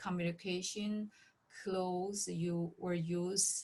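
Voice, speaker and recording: A woman's very slow, somewhat breathy voice with a non-native accent and monotone, flat intonation. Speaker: nurse practitioner in long-term care. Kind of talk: interview. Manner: halting.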